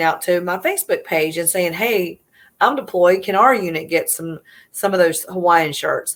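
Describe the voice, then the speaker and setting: A woman with a Southern US accent talks at a moderate pace and medium pitch, her intonation fairly even. The recording is very clean, with a silent background. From US South, South Carolina (Easley). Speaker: military mom, nonprofit founder. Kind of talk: interview storytelling.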